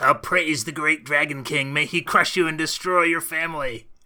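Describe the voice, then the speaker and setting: A put-on character voice from a man, pitched fairly high, delivered at a moderate pace. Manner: scheming, snarling.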